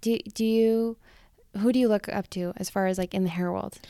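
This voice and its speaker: At a fairly quick pace, a woman with an American accent speaks in a dark, mellow tone. The recording is very clean, with a silent background. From Rexburg, Idaho. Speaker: podcast host. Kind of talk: casual interview chat.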